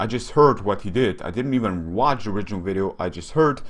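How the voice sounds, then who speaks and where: Talking very fast in a Slovene accent, a man with a fairly low voice uses lively intonation. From Slovenia. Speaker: YouTube commentator. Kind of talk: casual commentary video. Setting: webcam recording. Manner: hesitant, many fillers.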